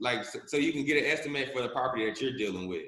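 A man's medium-pitched voice with a bright, sharp tone and ordinary pitch variation. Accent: American. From US South, Charlotte, North Carolina. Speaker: real estate wholesaler. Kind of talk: interview. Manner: halting.

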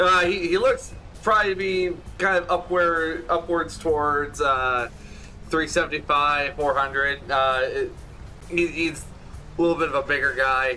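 Over music in the background, the speech comes at a very slow pace with long, frequent pauses and very even loudness. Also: man. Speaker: game master. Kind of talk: tabletop roleplaying game session.

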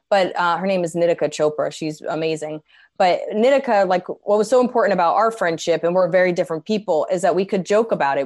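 A normal speaking voice, a woman with an American accent at a fairly quick pace with ordinary pitch variation. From New Jersey. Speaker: comedian. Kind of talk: casual chat.

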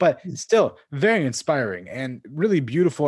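A man's animated, enthusiastic tone, with lively intonation at a moderate pace. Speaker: podcast host. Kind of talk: casual interview.

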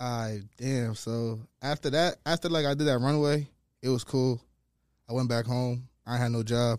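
In an American accent and an ordinary speaking voice, a man at medium pitch talks at a fairly slow pace with fairly even intonation, in a dry, close sound with no echo on a very clean recording with a silent background. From New York, the Bronx, then Rhode Island. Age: 20s. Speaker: stylist and model. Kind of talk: casual interview.

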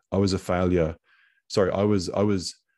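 In a quiet background, a man with an Australian accent speaks with a very deep, low pitch. His tone is dark and mellow. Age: 40s. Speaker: podcast host and coach. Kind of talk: interview conversation. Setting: video call.

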